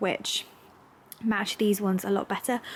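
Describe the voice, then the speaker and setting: With a southern English accent, a woman speaks at a moderate pace in a flat, monotone way. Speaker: lifestyle vlogger. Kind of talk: vlog, casual chat to camera. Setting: at home, during building work. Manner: chatty, filler-heavy.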